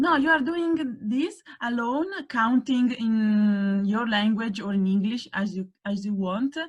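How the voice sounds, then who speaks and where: A woman speaks with an Italian accent at a very slow pace. Her voice is somewhat breathy. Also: fairly high pitch for a woman, lively intonation. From Italy. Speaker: workshop speaker. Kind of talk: workshop presentation. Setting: video call. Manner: hesitant.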